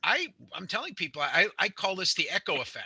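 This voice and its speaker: In a dry, close recording with no echo, a man speaks with a bright, sharp tone and vocal fry. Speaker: architect teaching home inspection course. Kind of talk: lecture. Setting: remote online class. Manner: fast.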